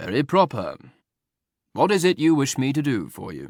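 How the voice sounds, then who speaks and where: In a put-on character voice, a man uses a raspy, fairly high pitch with lively intonation at a moderate pace, in a very clean recording with a silent background. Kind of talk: prosaic, dry. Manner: slightly bored.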